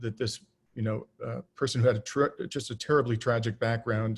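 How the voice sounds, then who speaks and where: With a Canadian accent, a man talks at a very fast pace and a medium pitch, somewhat breathy and monotone with flat intonation, on a very clean recording with a silent background. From southern Ontario, Canada. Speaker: political candidate. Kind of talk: campaign talk. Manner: many fillers and false starts.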